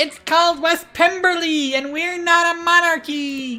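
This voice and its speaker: A put-on character voice shouts at an extremely high pitch. Faint music plays in the background. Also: moderate pace. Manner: shouting, indignant.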